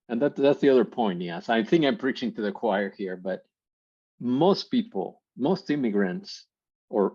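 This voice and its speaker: Against a quiet background, a man with a Mexican accent speaks at a moderate pace in a dark, mellow tone with vocal fry and very wide pitch swings. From Mexico. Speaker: workshop presenter. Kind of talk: conference workshop talk.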